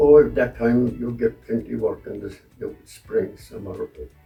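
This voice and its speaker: Music plays behind a man who speaks at a fairly slow pace. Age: 80s+. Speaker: hurley repairer and club committee member. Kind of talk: interview answer.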